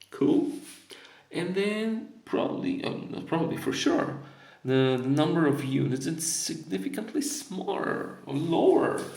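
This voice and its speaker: A man with a Polish accent speaks with very wide pitch swings over noticeable background noise and audible room echo. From Poland. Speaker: board game reviewer. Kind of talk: unboxing video. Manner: casual, hesitant with fillers.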